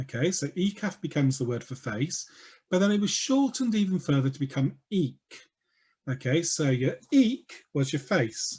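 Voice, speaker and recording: A man talks with lively intonation at a moderate speed, his fairly high voice somewhat breathy. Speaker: talk speaker on LGBT history. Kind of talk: online talk. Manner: animated.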